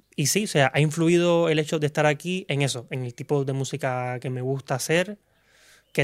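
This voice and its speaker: An ordinary speaking voice from a man at a moderate pace with fairly even intonation, on a very clean recording with a silent background. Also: dry, close sound with no echo. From Cuba. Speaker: singer. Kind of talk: casual interview chat.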